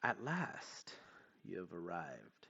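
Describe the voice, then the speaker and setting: A man performs in a put-on character voice. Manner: mysterious, ominous.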